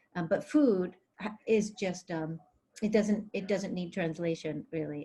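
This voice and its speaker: Fairly low, somewhat breathy woman's voice with an American accent, a dark, mellow tone, ordinary pitch variation and a moderate pace. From Greece, then US from age six. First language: Greek. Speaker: novelist. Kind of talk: interview.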